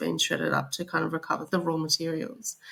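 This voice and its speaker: The speaker keeps a moderate pace in an Australian accent. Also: woman. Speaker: corporate sustainability director. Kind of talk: podcast interview.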